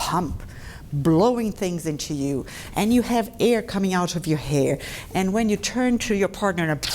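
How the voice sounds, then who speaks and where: A woman with a Brazilian Portuguese accent, medium pitch and very wide pitch swings, at a moderate pace over noticeable background noise. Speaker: dentist. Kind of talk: lecture. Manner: conversational.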